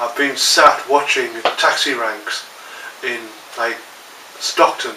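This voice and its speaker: A man with a Teesside accent is heard over noticeable background noise, with audible echo in the room. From northern England, Teesside. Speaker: martial arts instructor. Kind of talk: vlog talk to camera. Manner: casual, many fillers.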